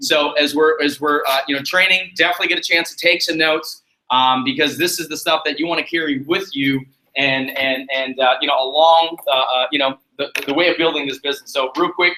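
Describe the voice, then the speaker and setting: A man's fairly high-pitched voice, bright and sharp in tone, at a fairly quick pace. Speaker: sales team trainer. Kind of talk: live training seminar. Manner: fast; animated.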